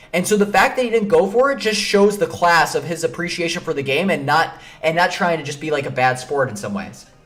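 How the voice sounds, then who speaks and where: A man with an American accent speaks in an animated tone at a fairly quick pace, his high voice making very wide pitch swings over music in the background. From Chicago, Illinois. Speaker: chess streamer. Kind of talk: live stream commentary. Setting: live stream. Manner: fast, with many repetitions and fillers.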